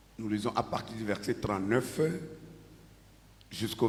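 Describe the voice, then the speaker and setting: A man speaks at a fairly slow pace with a fairly low pitch. Audible room echo surrounds his voice. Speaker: pastor. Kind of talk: sermon.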